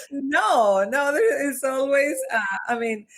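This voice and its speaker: A woman talks with a slight Mexican accent. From Mexico (Monterrey). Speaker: organizational development consultant. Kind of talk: podcast interview.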